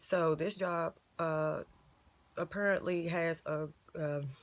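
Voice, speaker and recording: Her voice sits fairly low for a woman. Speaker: online ministry vlogger. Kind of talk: casual vlog testimony. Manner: animated.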